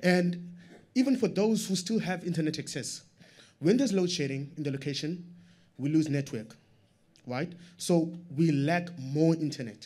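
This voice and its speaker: A man speaks in a high voice with a dark, mellow tone. He leaves long, frequent pauses. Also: lively intonation, moderate pace. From South Africa, Strand township; South Africa. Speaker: audience member, small business owner; audience member. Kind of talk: audience question. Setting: stage with audience. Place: meeting room.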